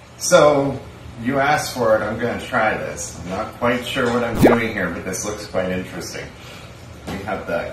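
Noticeable background noise and audible room echo behind a man talking at a moderate pace. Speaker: food reviewer. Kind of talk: casual vlog chat. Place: home room. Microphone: camera far.

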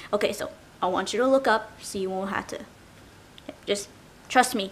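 A woman's voice sits at a fairly high pitch. Its pitch variation is ordinary. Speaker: ASMR roleplayer. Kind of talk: ASMR roleplay, makeover. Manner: soft-spoken, close, reassuring. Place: home room. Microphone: webcam.

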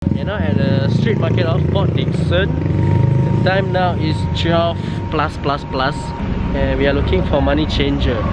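Loud background noise surrounds a man talking at a fairly slow pace. The sound itself is dry, with no echo. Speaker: vlogger. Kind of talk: casual vlog chat. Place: market. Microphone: phone near.

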